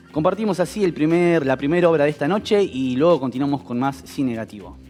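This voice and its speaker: Over music in the background, a man talks very fast at a fairly high pitch with lively intonation. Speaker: TV show host. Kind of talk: TV program introduction. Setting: studio.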